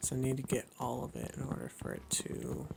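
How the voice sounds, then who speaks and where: A man's quiet whispering at a fairly slow pace, with noticeable background noise. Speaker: gaming youtuber. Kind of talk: let's play commentary. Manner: whispering quietly.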